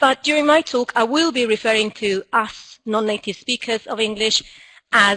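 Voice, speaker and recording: Speaking at a moderate pace with an Argentine accent, this voice has a bright, sharp tone, ordinary pitch variation, and a dry, close sound with no echo. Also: woman. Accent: Argentinian accent in English. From Argentina. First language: Spanish. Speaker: school director and teacher trainer. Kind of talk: conference talk.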